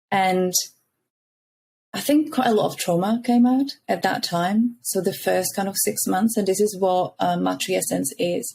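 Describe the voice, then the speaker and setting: A somewhat breathy woman's voice with a dark, mellow tone and a Czech accent, at a fairly slow pace and very even loudness. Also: medium pitch for a woman, ordinary pitch variation. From Czech Republic. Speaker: founder of a mothers' support community. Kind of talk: podcast interview.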